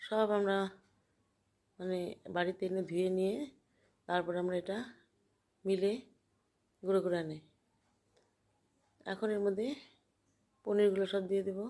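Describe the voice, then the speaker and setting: Soft-spoken female voice of medium pitch, dark and mellow, with monotone, flat intonation. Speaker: home cook. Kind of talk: cooking tutorial.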